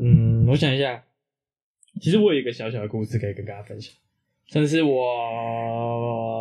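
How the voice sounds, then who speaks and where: Over music in the background, a man talks at a moderate pace with long, frequent pauses, medium pitch, fairly even intonation and big swings in loudness. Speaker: podcast co-host. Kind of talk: casual chat.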